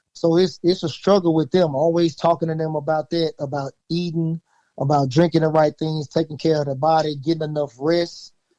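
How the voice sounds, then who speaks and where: A man with a Southern US accent speaks at a fairly quick pace, his pitch fairly high. His tone is dark and mellow, the intonation flat and monotone, and the sound dry and close with no echo. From Louisiana, USA. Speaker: high school coach. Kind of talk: interview answer.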